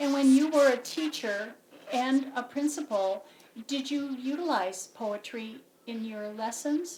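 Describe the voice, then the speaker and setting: Speaking at a fairly slow pace, a woman uses a high pitch with ordinary pitch variation and big swings in loudness. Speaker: interviewer and co-author. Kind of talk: interview questions.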